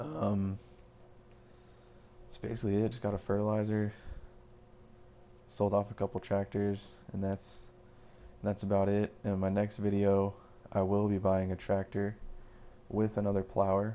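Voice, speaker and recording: A man talks at a fairly low pitch with a dark, mellow tone and monotone, flat intonation. His pace is moderate, broken by long, frequent pauses. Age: 20s. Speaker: gaming youtuber. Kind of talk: gameplay commentary. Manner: casual, filler-heavy.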